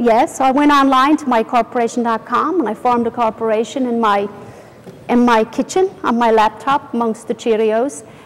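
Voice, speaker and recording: Noticeable background noise runs under this woman's voice. She is high in pitch with ordinary variation and talks at a fairly quick pace. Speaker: company founder. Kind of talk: interview.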